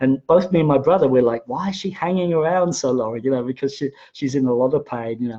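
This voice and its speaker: Very fast speech in a dark, mellow tone with ordinary pitch variation, hardly any pauses and a quiet background. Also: man, medium pitch for a man. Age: 60s. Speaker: spiritual teacher. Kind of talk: livestream talk. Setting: Facebook Live video stream. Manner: halting, many fillers and repeats.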